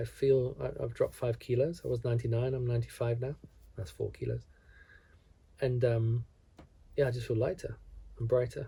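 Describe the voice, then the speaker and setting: A man with a dark, mellow tone sounds somewhat breathy, using fairly even intonation and long, frequent pauses. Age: 50s. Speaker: wellness vlogger. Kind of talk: reflective monologue. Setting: at home alone. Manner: calm.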